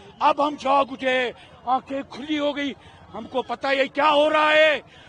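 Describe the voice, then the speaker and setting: An extremely high-pitched man's voice with an animated tone, amid noticeable background noise. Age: 60s. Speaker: protester. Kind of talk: street interview.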